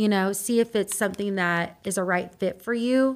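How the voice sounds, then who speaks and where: An ordinary speaking voice from a woman, medium in pitch and moderate in pace, on a very clean recording with a silent background. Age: 30s. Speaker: mortgage lender. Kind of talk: casual interview.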